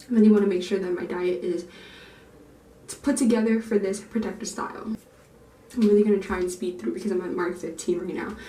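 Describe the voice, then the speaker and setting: A woman's medium-pitched voice at a very fast pace, with ordinary pitch variation, long and frequent pauses, audible room echo and noticeable background noise. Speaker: natural hair YouTuber. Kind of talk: vlog tutorial. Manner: casual, chatty.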